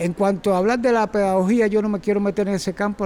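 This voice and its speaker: With a Cuban accent, a man speaks at a fairly quick pace. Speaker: circus teacher. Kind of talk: talk to audience. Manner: halting.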